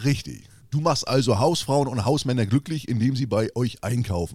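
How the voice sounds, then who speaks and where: With lively intonation, a man talks at a moderate speed in a medium pitch. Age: 40s. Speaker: podcast co-host, social media creator. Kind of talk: casual chat. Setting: video call.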